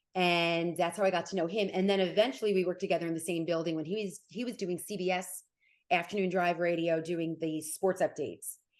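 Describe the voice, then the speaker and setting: Against a quiet background, a woman with an American accent talks at a fairly quick pace, her fairly low pitch carried in a fairly even intonation. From New Jersey (Nutley, Essex County). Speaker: sports reporter and anchor. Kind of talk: interview conversation. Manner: fast.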